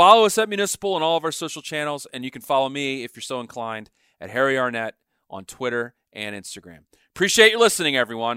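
Recorded very cleanly against a silent background with a dry, close sound and no echo, a man of medium pitch talks at a very fast pace in a bright, sharp tone, with very wide pitch swings and big swings in loudness. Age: 50s. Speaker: podcast host. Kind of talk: scripted intro and outro; casual interview.

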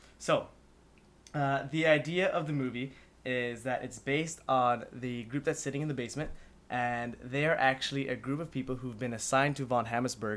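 With fairly even intonation, a man talks at medium pitch in an ordinary speaking voice. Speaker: guest. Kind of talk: casual chat.

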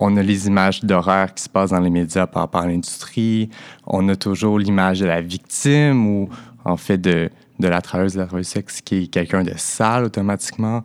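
A man with a very deep, low pitch talks with fairly even intonation, and the recording is very clean with a silent background. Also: moderate pace. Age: 20s. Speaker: sex worker. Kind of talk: personal testimony. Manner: halting.

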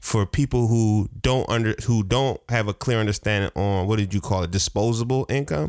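Recorded very cleanly over a silent background, a man with a plain, everyday voice and fairly low pitch talks at a moderate pace with ordinary pitch variation, very even loudness and hardly any pauses. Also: dry, close sound with no echo. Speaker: podcast host. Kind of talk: casual chat.

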